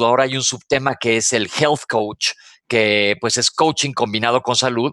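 A man with a Mexican accent at a moderate pace, in a dry, close sound with no echo. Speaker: doctor and health author. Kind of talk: casual radio chat.

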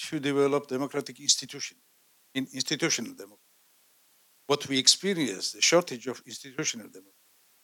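With a Georgian accent, a man talks at a fairly quick pace and fairly high pitch, showing ordinary pitch variation and big swings in loudness. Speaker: audience member, diplomat. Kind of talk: audience question.

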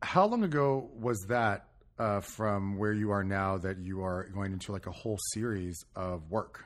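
A man speaks with an American accent in an unremarkable speaking voice, fairly low in pitch. His intonation is fairly even, against a quiet background. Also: fairly slow pace. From California. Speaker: theatre director and podcast host. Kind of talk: casual interview chat.

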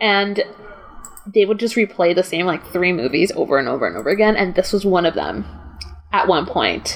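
Ordinary pitch variation at a fairly quick pace, broken by long, frequent pauses, with noticeable background noise. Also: woman, medium pitch for a woman. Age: 20s. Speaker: film writer and podcast host. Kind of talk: casual chat.

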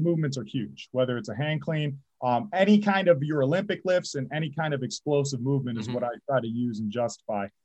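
This man has an unremarkable speaking voice. He speaks fairly quickly with lively intonation. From Michigan, St. Clair Shores. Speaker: high school football head coach. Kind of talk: interview.

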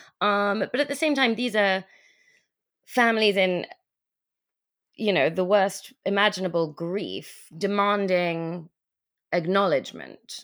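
A woman's medium-pitched voice with an English accent, ordinary pitch variation and a fairly slow pace, broken by long, frequent pauses, on a very clean recording with a silent background. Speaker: writer and teacher. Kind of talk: interview. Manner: hesitant, many fillers.

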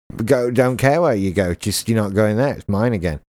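The voice has an English accent, a fairly quick pace and ordinary pitch variation. The recording is very clean, with a silent background and a dry, close sound with no echo. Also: man. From England. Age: 30s. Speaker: podcast host. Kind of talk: casual chat.

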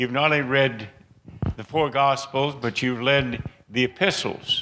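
A man speaks at a medium pitch with ordinary pitch variation. His tone is bright and sharp. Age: 80s+. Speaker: guest preacher. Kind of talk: sermon. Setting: church.

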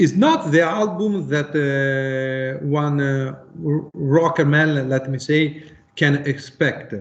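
Over noticeable background noise, a man with an Italian accent speaks very slowly in a fairly high voice, his intonation fairly even. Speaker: musician. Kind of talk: interview. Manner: halting.

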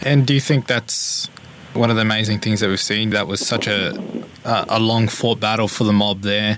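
Over noticeable background noise, a man with an Australian accent talks at a moderate pace in a flat monotone. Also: fairly low pitch for a man. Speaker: radio host.

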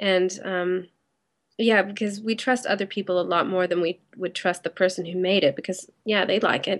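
Against a quiet background, a woman speaks in a plain, everyday voice at medium pitch, at a moderate pace with fairly even intonation. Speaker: web company owner. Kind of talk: casual interview chat. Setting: Skype call.

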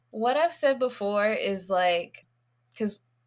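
With an American accent, a woman speaks in an ordinary speaking voice at a moderate pace and a fairly high pitch. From US South, Nashville, Tennessee. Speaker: reproductive justice educator and healer. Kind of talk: casual interview conversation.

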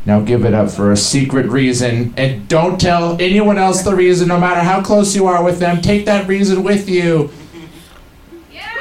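Music plays in the background as a man talks at a moderate pace. His high voice moves through very wide pitch swings. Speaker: comedian. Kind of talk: stand-up. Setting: stage with audience at a pub.

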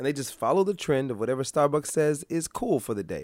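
Here a man speaks in an animated tone. His pitch is fairly high. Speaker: blogger. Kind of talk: casual rant monologue.

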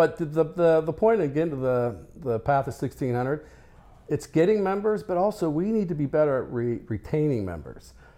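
Fairly high-pitched, a man speaks at a moderate pace in a dark, mellow tone with lively intonation. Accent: American. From Colorado, US. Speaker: trade association chairman, scrap yard owner. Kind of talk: interview.

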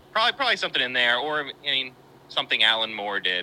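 A man with an American accent at a medium pitch, talking at a very fast pace with lively intonation and a bright, sharp tone. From West Virginia. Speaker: filmmaker and editor. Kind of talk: casual chat.

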